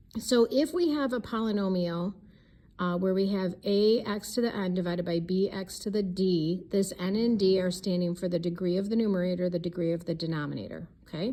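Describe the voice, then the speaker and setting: At a fairly quick pace, a woman talks in a dark, mellow tone at a medium pitch with ordinary pitch variation. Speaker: math teacher. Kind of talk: lecture. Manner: fast.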